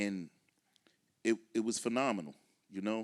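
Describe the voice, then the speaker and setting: The speaker has an American accent and a moderate pace. The recording is very clean, with a silent background and a dry, close sound with no echo. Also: man. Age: 40s. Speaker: artist. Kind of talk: panel talk.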